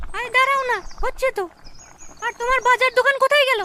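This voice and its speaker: A woman's cartoonish character voice, extremely high in pitch, at a moderate pace. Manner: warm but nagging.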